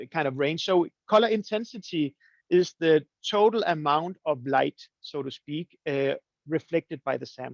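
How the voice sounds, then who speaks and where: A man talks at a moderate pace, his voice dry with no echo against a quiet background. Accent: Danish. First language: Danish. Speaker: coffee roasting teacher; presenter. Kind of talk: webinar presentation. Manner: halting, many fillers and repeats. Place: home room. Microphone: webcam.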